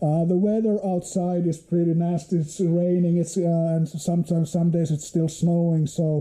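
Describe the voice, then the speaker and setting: A man speaks with a Finnish accent in a high pitch and a dark, mellow tone. His intonation is flat and monotone, his pace moderate. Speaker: motorcycle hobbyist vlogger. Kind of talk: unboxing video. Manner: halting, many fillers.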